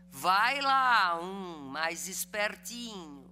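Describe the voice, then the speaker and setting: Amid audible room echo, a woman's bright, sharp voice carries lively intonation. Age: 60s. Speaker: law professor and lawyer. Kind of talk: lecture.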